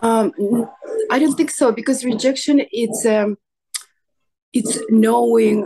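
Against a quiet background, a woman with a fairly high voice and ordinary pitch variation speaks at a very slow pace, with long, frequent pauses. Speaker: coaching client. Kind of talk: personal therapy session. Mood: emotional, searching for feelings. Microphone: video call.

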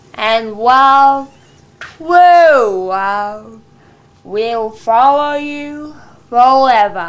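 A female-sounding put-on character voice speaks at a high pitch and a very slow pace. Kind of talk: comic wedding sermon. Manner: slow, exaggerated, drawn-out.

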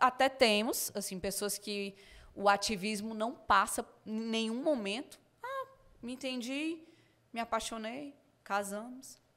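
In a northeastern Brazilian accent, the speaker uses ordinary pitch variation and big swings in loudness. Long, frequent pauses break up the speech. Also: woman, fairly slow pace. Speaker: podcast guest. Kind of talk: casual interview. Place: studio. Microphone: studio mic.

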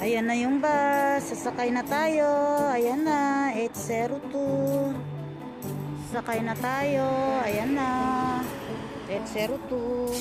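A woman talks at a very slow pace with long, frequent pauses and ordinary pitch variation. Loud music plays behind her. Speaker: vlogger. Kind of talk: casual vlog chat. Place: street. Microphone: phone near.

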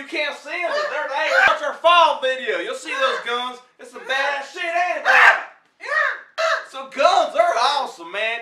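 A man talks at a very slow pace over loud background noise. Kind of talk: comedic rant to camera. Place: home room. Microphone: webcam.

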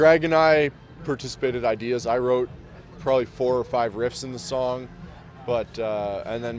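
The man has a Canadian accent and ordinary pitch variation, with dry sound, no echo, and light background noise. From Ontario, Canada. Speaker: metal band musician. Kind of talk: casual interview chat. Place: street. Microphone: handheld.

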